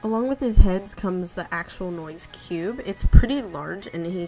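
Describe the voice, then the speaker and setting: Fairly low-pitched woman with ordinary pitch variation, music in the background. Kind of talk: casual unboxing talk to camera.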